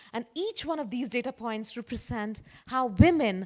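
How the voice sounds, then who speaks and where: With an Indian accent, a woman speaks at a moderate pace in a high pitch with lively intonation. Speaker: conference speaker. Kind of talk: keynote talk.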